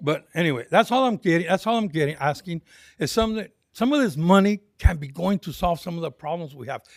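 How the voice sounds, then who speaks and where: A man with an American accent speaks at a high pitch with lively intonation. The sound is dry and close, with no echo. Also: big swings in loudness. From US, arrived in California from Texas in 1955. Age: 70s. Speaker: public commenter at city council meeting. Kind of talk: public comment speech. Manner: repetitive, halting.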